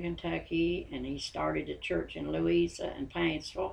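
This woman speaks with an Appalachian accent at a moderate pace. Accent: Appalachian US Southern. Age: 80s+. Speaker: interviewee, grandmother of host. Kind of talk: personal storytelling.

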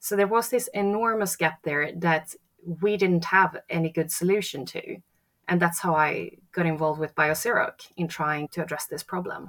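A woman with a Swedish accent speaks in a fairly low pitch. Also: ordinary pitch variation, moderate pace. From Sweden. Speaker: architect and sustainability entrepreneur. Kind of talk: interview.

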